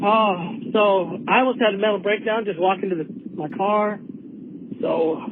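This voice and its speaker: Over noticeable background noise, someone talks at a fairly slow pace. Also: man. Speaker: caller to a sports call-in show. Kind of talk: casual chat. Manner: rambling, informal.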